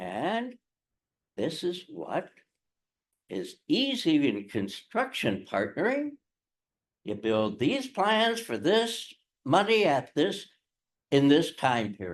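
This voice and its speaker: Using very wide pitch swings from a fairly high base, a man talks at a very slow pace with vocal fry and long, frequent pauses. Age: 80s+. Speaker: retired lawyer and dispute prevention facilitator. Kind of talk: presentation to lawyers.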